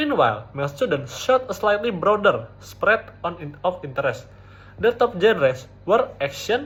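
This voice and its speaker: A man with a high pitch speaks at a moderate pace, his pitch swinging very widely. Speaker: university student. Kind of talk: academic presentation. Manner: occasional stuttering, not fully fluent.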